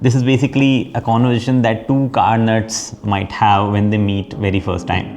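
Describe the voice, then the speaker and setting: A man with an Indian accent at a medium pitch and moderate pace, fairly even intonation, hardly any pauses, music in the background. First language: Hindi. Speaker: automotive YouTuber and podcast host. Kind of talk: scripted introduction to camera; casual interview conversation.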